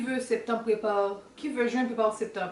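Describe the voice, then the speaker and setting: A woman's fairly high voice in a Haitian accent, fairly even intonation, audible room echo and noticeable background noise. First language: Haitian Creole. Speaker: student and vlogger. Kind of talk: casual Q&A vlog. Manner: halting, searching for words.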